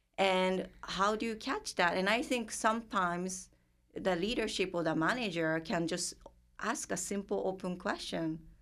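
A woman with a Japanese accent speaks at a moderate pace, her medium-pitched voice showing ordinary pitch variation. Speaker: therapist working with multicultural clients. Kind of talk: casual interview conversation.

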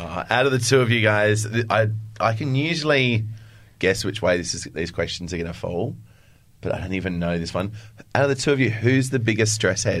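With an Australian accent, a man talks at a fairly quick pace and fairly low pitch. His intonation is lively, and audible room echo surrounds him. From Adelaide, Australia. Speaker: podcast host and fitness instructor. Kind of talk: casual chat.

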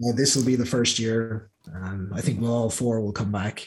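A man with an American accent speaks at a fairly low pitch and moderate pace. His voice is somewhat breathy, with fairly even intonation. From Clonmel, Ireland, then Ohio US. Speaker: guest, Irish emigrant. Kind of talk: casual interview.

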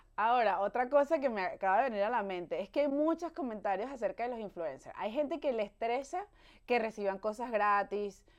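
A woman with a plain, everyday voice speaks at a fairly high pitch and a fairly quick pace. Her intonation is lively, and the background is quiet. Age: 30s. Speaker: podcast host. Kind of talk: casual chat. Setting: studio. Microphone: new microphone.

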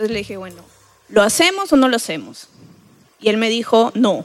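Big swings in loudness and long, frequent pauses mark a woman's fairly high-pitched speech, which has lively intonation and a moderate pace. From Trujillo, Peru. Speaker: radiation oncologist, audience member. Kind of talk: casual chat. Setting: stage with audience.

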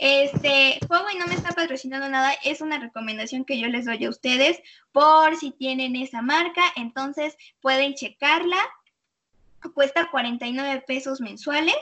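A woman's high pitch with ordinary pitch variation, at a fairly slow pace. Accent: Mexican. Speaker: radio show host. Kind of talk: radio interview and chat. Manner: animated.

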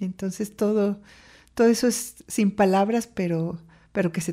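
Over a very clean recording with a silent background, a woman speaks at a fairly slow pace in a dark, mellow, somewhat breathy tone with fairly even intonation. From Mexico City. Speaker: poet. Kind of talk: interview. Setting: studio.

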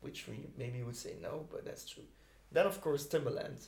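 A man speaks with a Dutch accent. Audible room echo surrounds his voice. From Belgium, Ghent. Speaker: music producer. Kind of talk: casual interview. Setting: studio.

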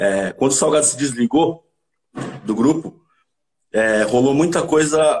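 This man's voice is fairly high and somewhat breathy. He talks at a fairly slow pace with ordinary pitch variation. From Santo André, São Paulo, Brazil. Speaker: cavaquinho player and music producer. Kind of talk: casual interview chat.

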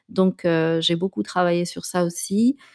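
The pace is fairly slow. The recording is very clean with a silent background, and the sound is dry and close with no echo. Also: woman. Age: 30s. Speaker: podcast host and life coach. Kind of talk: personal monologue podcast. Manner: hesitant, frequent fillers and repetitions.

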